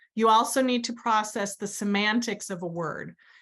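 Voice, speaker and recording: With an American accent, a woman speaks in an unremarkable speaking voice, fairly high in pitch with ordinary variation, over a quiet background. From US Southwest, New Mexico. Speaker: educational therapist and instructor. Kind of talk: webinar lecture. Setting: online webinar.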